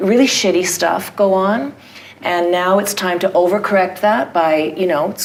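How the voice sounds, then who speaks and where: A woman's medium-pitched voice in a Canadian accent, at a moderate pace and fairly even intonation, over noticeable background noise. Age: 60s. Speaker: theatre artist. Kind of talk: audience Q&A.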